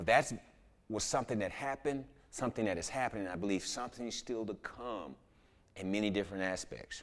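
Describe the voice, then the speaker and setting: The speaker has an American accent and lively intonation. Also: man. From Houston, Texas (inner city). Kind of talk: sermon.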